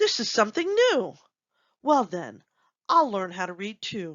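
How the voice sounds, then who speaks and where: In a put-on character voice, a female-sounding voice growls at a fairly high pitch for a woman, keeping a moderate pace. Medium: read story. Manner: growling.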